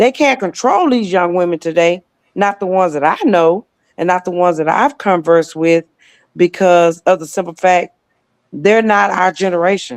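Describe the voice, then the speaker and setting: This woman has an unremarkable speaking voice of medium pitch, moving at a moderate pace with ordinary pitch variation, in a dry, close sound with no echo. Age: 60s. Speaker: talk show panelist. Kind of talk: casual debate.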